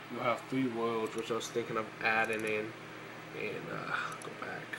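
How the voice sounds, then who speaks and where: A man at a medium pitch in a monotone, flat delivery, with audible room echo and noticeable background noise. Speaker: indie game developer. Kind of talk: tutorial. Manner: fast; casual, filler-heavy.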